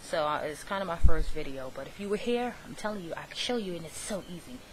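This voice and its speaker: With audible room echo and noticeable background noise, a woman talks at a fairly quick pace in a medium pitch with lively intonation. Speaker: craft tutorial vlogger. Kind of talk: tutorial. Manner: fast.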